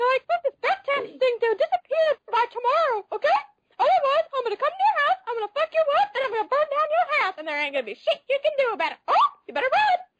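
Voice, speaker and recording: An extremely high-pitched put-on character voice at a very fast pace. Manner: menacing, threatening.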